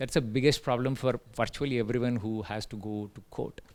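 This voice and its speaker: A man with an Indian accent, speaking at a fairly quick pace. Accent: Indian English, Telugu. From India, Telugu-speaking. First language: Telugu. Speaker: tech entrepreneur, invited speaker. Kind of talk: invited talk. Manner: hesitant, many fillers.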